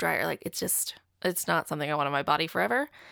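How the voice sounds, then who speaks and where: Talking very fast, a woman sounds animated, with lively intonation and vocal fry. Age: 30s. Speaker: podcast host. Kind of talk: casual monologue.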